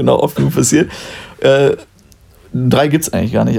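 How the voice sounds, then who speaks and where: A man at a fairly quick pace. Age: 20s. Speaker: podcast host. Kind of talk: casual chat.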